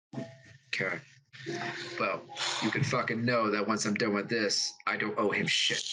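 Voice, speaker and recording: A man puts on a gruff character voice at a medium pitch with fairly even intonation. He moves at a moderate pace, with long, frequent pauses. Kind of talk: casual, profane.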